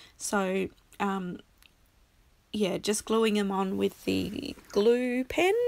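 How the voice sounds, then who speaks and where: Speaking at a medium pitch, a woman talks at a very slow pace with ordinary pitch variation and long, frequent pauses. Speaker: crafter. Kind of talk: casual tutorial. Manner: halting, many fillers.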